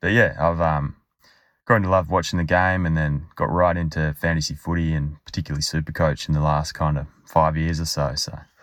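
Here a man speaks in an Australian accent at a very deep, low pitch. His intonation stays fairly even. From Western Australia (Albany). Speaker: listener sharing a fan story. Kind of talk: recorded voice memo.

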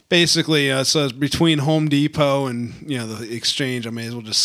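At a moderate pace and with ordinary pitch variation, the speech comes through noticeable background noise. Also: man. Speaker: podcast co-host. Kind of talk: casual chat.

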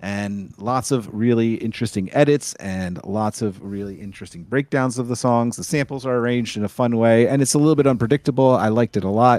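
This unremarkable speaking voice keeps a moderate pace and shows ordinary pitch variation. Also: man. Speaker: DJ and musician, co-host. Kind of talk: casual chat.

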